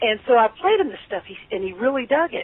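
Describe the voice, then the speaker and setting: Noticeable background noise runs beneath talking delivered at a moderate speed. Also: woman. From Kentucky (Lexington). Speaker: blues guitarist. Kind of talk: interview.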